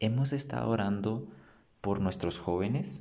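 A man's fairly slow delivery, with a fairly low pitch, a dark, mellow tone and lively intonation. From Guatemala, San Marcos. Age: 20s. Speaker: theology student. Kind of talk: casual chat.

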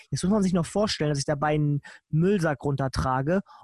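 In an unremarkable speaking voice, a man with a fairly high pitch talks at a moderate pace and with fairly even intonation, the sound dry and close with no echo. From northern Germany, Lower Saxony (Nienburg). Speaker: podcast host. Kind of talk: casual chat.

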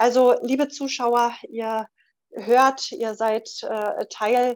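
A woman's very slow speech carries fairly even intonation. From Berlin. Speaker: podcast host, retired nurse. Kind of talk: live call-in podcast hosting.

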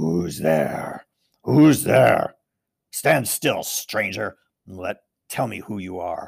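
A man's put-on character voice, raspy and growling, fairly low in pitch, at a very slow pace with long, frequent pauses. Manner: menacing, demanding.

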